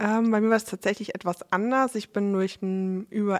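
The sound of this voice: A woman speaks at a moderate pace. Her pitch is medium, and her intonation stays fairly even.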